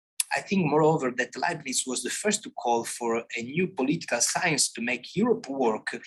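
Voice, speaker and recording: A man with an Italian accent speaks at a moderate pace with lively intonation. Noticeable background noise runs under his voice. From Italy. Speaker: philosophy scholar. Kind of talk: conference talk. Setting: conference with audience. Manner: halting.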